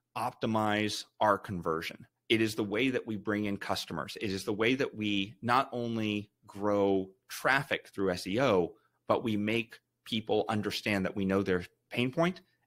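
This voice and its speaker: A man with a plain, everyday voice speaks at a fairly slow pace, his fairly low pitch showing ordinary variation. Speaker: company founder presenting. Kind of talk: webinar presentation.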